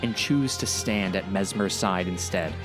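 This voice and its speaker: A man with a fairly low voice speaks at a moderate pace with ordinary pitch variation while music plays in the background. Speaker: storyteller. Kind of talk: video game lore narration.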